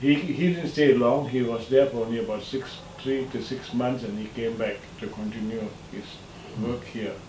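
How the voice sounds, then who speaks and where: There is audible room echo and noticeable background noise as a man talks. His medium pitch has ordinary variation at a moderate pace. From Malaysia. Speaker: son of a scholar, interviewee. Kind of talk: interview, reminiscing. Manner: halting.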